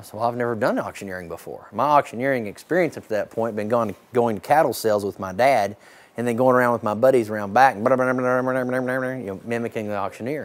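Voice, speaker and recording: A man speaks at a medium pitch and a fairly quick pace. His pitch variation is ordinary. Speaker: charity auctioneer. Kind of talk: casual storytelling to camera, interview answer. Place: farm machine. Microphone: lapel.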